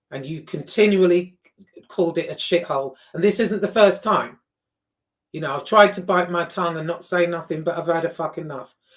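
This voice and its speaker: The speaker has a London accent and talks at a fairly quick pace. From England, raised in Liverpool then London. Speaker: YouTuber. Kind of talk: casual vlog rant. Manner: animated.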